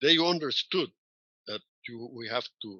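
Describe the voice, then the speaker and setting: Speaking very slowly with a Spanish accent, a man uses ordinary pitch variation. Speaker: professor. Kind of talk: interview.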